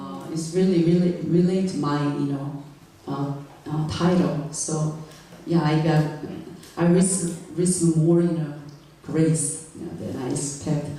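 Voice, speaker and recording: Long, frequent pauses break up fairly slow speech over noticeable background noise. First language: not English. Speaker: guest preacher. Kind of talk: sermon. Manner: halting, many fillers; serious.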